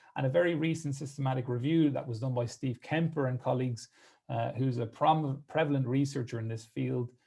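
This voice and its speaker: Against a quiet background, a man with an Irish accent talks at a fairly quick pace, his medium-pitched voice dark, mellow and somewhat breathy, with fairly even intonation. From Ireland. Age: 30s. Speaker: physiotherapist. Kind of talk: presentation.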